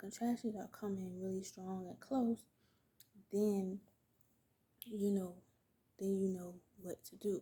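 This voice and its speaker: Somewhat breathy and dark, mellow in tone, a woman's medium-pitched voice moves at a fairly slow pace. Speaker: vlogger, new mother. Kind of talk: casual storytime vlog. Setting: at home, baby asleep nearby. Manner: casual, chatty with fillers.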